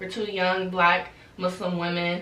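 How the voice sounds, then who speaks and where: Audible room echo and noticeable background noise surround a woman speaking at a fairly slow pace with a fairly low pitch. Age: 20s. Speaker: podcast co-host. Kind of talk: casual chat.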